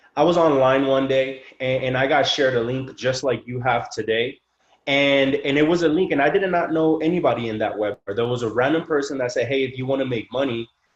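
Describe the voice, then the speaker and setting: A man with an American accent speaks in a normal speaking voice at a medium pitch and a fairly quick pace, with ordinary pitch variation. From Mexico and El Paso, Texas. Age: 20s. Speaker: network marketing speaker and trader. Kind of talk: motivational testimony on a webinar call. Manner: casual, filler-heavy.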